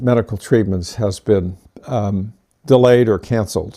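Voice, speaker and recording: On a very clean recording with a silent background, a man's dark, mellow tone carries fairly even intonation. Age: 80s+. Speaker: community presenter. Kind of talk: personal talk presentation. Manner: hesitant, many fillers.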